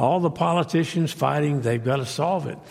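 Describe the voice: A man's raspy voice sits at a fairly high pitch with a slightly mellow tone.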